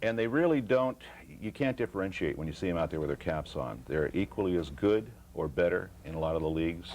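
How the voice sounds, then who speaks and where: Lively intonation runs through speech at a very fast pace. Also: man. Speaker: youth baseball announcer and volunteer. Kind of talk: TV interview.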